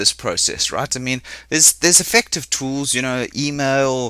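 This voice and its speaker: In a South African accent, a man speaks with a fairly high pitch and a bright, sharp tone. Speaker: business coach. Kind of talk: webinar presentation. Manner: fast.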